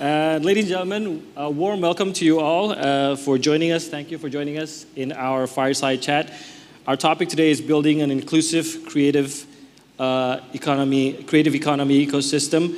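A man's intonation stays fairly even as he talks at a moderate speed. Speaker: panel moderator, news anchor. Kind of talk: formal event moderation. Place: hall.

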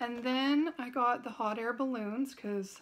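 A woman speaks at a high pitch. Her pace is fairly slow. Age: 40s. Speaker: haul video creator. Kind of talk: casual product haul talk to camera. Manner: chatty, casual. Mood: enthusiastic, friendly. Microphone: phone near.

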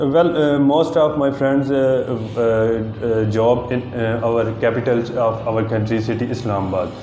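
Speech moves at a fairly slow pace with ordinary pitch variation. There is audible room echo and light background noise. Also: man, medium pitch for a man. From Pakistan, Punjab (near Jhelum); Punjab, Pakistan. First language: Urdu or Punjabi. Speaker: IELTS test candidate. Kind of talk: mock speaking exam. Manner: halting, many fillers.

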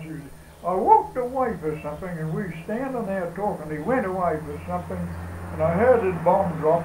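A man at a fairly quick pace, with light background noise and audible room echo. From Australia. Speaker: elderly local recalling his past. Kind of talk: oral history interview answer. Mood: reminiscing, conversational. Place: home room. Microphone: camera far.

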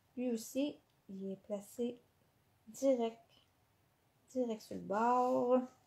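A woman's fairly high voice in a Quebec accent, very slow with long, frequent pauses, fairly even intonation, and big swings in loudness. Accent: Québécois French. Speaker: scrapbooking instructor. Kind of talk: live craft tutorial. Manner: hesitant, many fillers.

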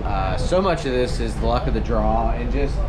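Loud noise fills the background. Through it, a man talks. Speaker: race car driver vlogger. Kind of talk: casual vlog chat. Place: street. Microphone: phone near.

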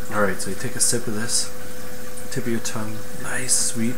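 Loud background noise surrounds a man who keeps a moderate tempo. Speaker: beer reviewer. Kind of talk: casual vlog chat. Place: home room. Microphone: webcam.

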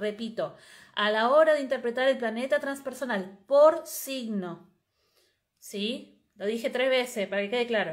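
A high-pitched woman's voice at a very slow pace, lively in intonation, over a quiet background. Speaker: astrologer and astrology teacher; astrology teacher. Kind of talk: live stream talk. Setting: live video stream. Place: home room. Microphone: earbuds.

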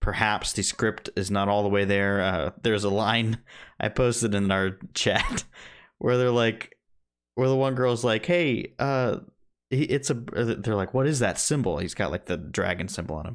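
The speaker keeps a moderate pace with ordinary pitch variation. The background is quiet. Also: man. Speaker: movie podcast co-host; podcast co-host. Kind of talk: casual chat. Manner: sarcastic-sounding. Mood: enthusiastic, a bit sarcastic. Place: home room.

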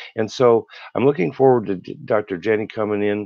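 A man speaks at a moderate pace with a fairly low pitch. The sound is dry with no echo, and the background is quiet. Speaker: co-host of a health live show. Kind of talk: live interactive health show. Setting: live online broadcast. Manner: casual, warm, rambling. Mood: earnest, personal.

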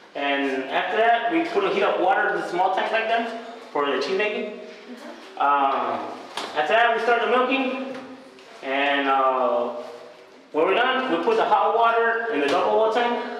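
With light background noise and strong room echo, a man speaks at a high pitch and a moderate pace, his pitch swinging very widely. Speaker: cheese worker guide. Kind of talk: tour explanation. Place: factory.

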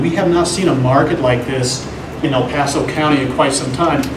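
Noticeable background noise sits behind a man speaking at a moderate pace with ordinary pitch variation. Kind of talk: public meeting presentation. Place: meeting room. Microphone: camera far.

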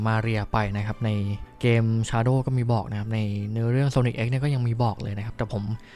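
With music playing in the background, a man speaks with fairly even intonation. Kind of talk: casual movie review talk. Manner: chatty, informal.

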